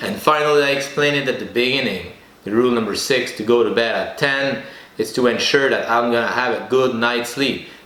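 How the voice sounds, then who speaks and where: A man with a French accent and a medium pitch talks at a moderate pace with fairly even intonation, with audible room echo and noticeable background noise around him. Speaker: podcast host. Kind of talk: solo podcast monologue. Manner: halting.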